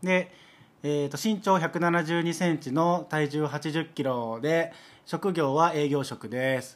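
A very slow pace in a Kansai accent. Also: man, fairly high pitch for a man, ordinary pitch variation. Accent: Kansai Japanese. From Osaka. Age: 30s. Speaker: podcast co-host. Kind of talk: casual chat.

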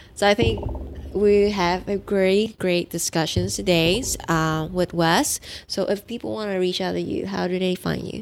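A woman speaks at a moderate pace in a medium pitch with ordinary pitch variation, over noticeable background noise. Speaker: podcast host. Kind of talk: interview conversation.

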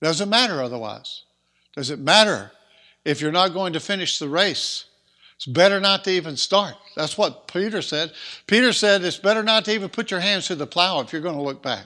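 A man speaks in a raised, projected voice at a fairly quick pace, high in pitch with lively intonation and a bright, sharp tone. The recording is very clean over a silent background. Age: 60s. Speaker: preacher. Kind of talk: sermon.

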